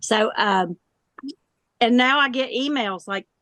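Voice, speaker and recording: Here a woman's pitch is fairly high, with ordinary variation. She speaks at a fairly slow pace. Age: 60s. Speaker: pitmaster and chef. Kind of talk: interview.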